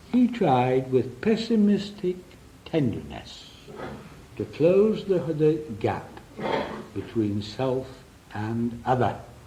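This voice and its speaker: Over noticeable background noise and audible room echo, a man speaks very slowly at a medium pitch with long, frequent pauses. His pitch swings very widely. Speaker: psychotherapist. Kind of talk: lecture. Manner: drops voice at important points.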